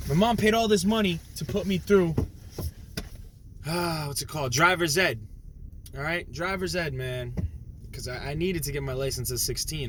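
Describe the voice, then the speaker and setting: A man with an American accent, long, frequent pauses, and audible room echo. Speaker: YouTuber. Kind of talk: casual vlog monologue. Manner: animated, slangy.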